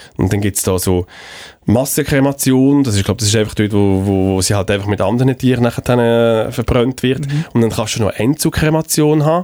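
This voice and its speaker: A man's dark, mellow, medium-pitched voice at a fairly quick pace, with ordinary pitch variation and very even loudness. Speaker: radio executive and podcast co-host. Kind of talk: casual chat.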